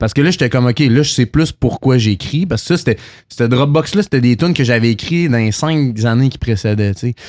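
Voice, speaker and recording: A man with a Quebec accent speaks at a medium pitch with lively intonation. The sound is dry and close with no echo, over a quiet background. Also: fairly quick pace. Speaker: singer-songwriter. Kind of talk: casual chat. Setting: bar venue, filmed podcast.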